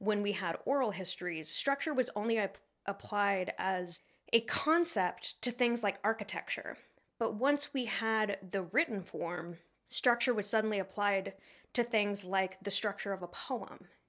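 A woman with an American accent and a medium pitch speaks at a fairly slow pace with ordinary pitch variation, in a very clean recording with a silent background. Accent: regional US dialect affecting pronunciation. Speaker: history podcast host. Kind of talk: casual chat.

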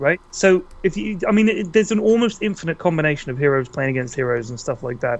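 With a British accent and a fairly high pitch, a man talks at a very fast pace with hardly any pauses and very wide pitch swings. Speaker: video game content creator and announcer voice. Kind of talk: casual chat. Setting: online call.

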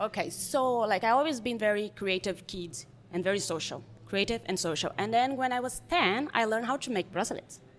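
A woman's fairly high voice with lively intonation and a Brazilian accent. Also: fairly quick pace. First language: Portuguese. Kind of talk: casual chat.

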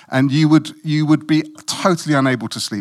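A man with a British accent at a fairly slow pace, in a very clean recording with a silent background. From West Africa (Guinea-Bissau), moved to UK at twelve. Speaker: lay preacher. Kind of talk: sermon.

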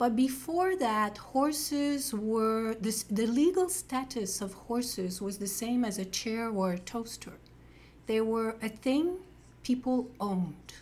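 A woman with a French accent talks at a very slow pace in a fairly high, somewhat breathy voice with lively intonation. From Quebec. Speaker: podcast co-host, horse show co-founder. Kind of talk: interview podcast.

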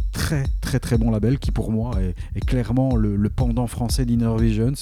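With a Belgian accent, a man speaks at a fairly slow pace in a very deep, low pitch with very wide pitch swings, over noticeable background noise. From Belgium. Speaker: radio DJ host. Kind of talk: radio show presentation between tracks. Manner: casual, lively.

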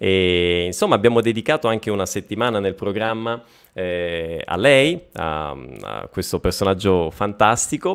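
A man talks at a fairly slow pace. His pitch is fairly low, with ordinary variation. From Lombardy, province of Bergamo (Sicilian family). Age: 30s. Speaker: Italian language teacher. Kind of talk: live stream interview. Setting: live stream video call. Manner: animated.

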